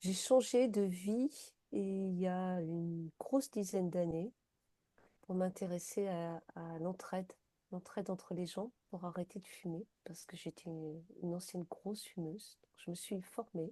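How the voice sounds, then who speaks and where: A woman speaks at a fairly slow pace in a medium pitch with a dark, mellow tone, ordinary pitch variation, big swings in loudness, and a dry, close sound with no echo. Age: 60s. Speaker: peer-support counselor for quitting smoking. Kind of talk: interview. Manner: hesitant, many fillers.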